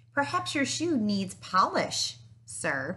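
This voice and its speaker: A woman puts on a character voice, pitched fairly high and spoken at a very slow pace. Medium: read story. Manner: polite, deferential.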